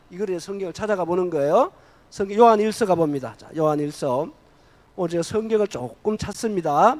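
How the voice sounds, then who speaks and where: High-pitched and fairly quick, a man talks with very wide pitch swings. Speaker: preacher. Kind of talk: sermon. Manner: call-and-response, interactive.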